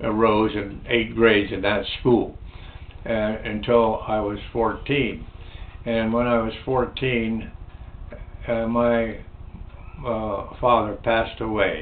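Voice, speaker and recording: A man's very slow, flat monotone, with noticeable background noise and audible room echo. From New Jersey / Pennsylvania, US (Trenton area). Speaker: navy veteran. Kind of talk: oral history interview. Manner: halting, many fillers.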